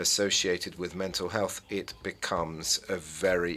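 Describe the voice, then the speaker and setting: This man's voice sits at a very deep, low pitch. He talks at a fairly slow pace. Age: 60s. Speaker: conference chair. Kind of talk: conference remarks. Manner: halting, with fillers.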